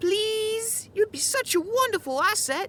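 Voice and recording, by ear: Lively intonation carries a woman's put-on character voice, extremely high in pitch, with a fairly bright tone and a fairly slow pace.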